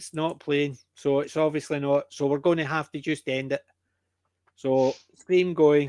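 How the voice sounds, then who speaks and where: A man with a Scottish accent speaks at a fairly slow pace in a fairly high pitch. His intonation is monotone and flat, and the sound is dry and close with no echo. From Scotland (Lowlands). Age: 60s. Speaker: podcast host. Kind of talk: casual chat.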